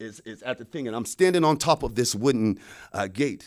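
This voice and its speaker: Very wide pitch swings from a man at a moderate pace, on a very clean recording with a silent background. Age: 40s. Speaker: speaker sharing personal experiences. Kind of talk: personal testimony talk. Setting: studio.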